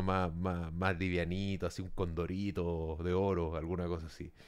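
A fairly slow pace with monotone, flat intonation. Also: man. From El Salvador. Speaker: podcast co-host. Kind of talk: casual chat. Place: home room. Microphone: studio mic.

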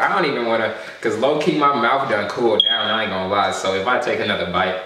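Noticeable background noise and audible room echo around very fast talking. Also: man. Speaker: vlogger. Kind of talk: casual vlog chat. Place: home room. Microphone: camera far.

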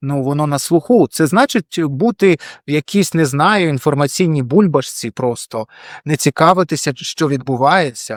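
A plain, everyday voice at a moderate pace, recorded very cleanly with a silent background and a dry, close sound with no echo. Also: man, fairly high pitch for a man. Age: 40s. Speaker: blogger and journalist. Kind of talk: casual to-camera vlog.

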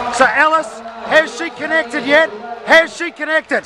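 Over noticeable background noise, a man with an extremely high voice speaks in a raised, projected, animated tone at a fairly slow pace. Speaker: track cycling commentator. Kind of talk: live race commentary. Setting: velodrome, race broadcast. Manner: animated, punchy call of sprints. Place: stadium.

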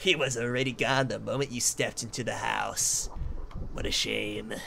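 At a moderate pace, a man puts on a put-on character voice with clear background noise behind him. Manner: ominous, mournful.

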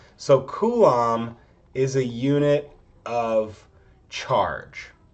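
The voice belongs to a man. His pitch varies in an ordinary way. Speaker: chemistry instructor. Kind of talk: lecture. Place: home room. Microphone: webcam.

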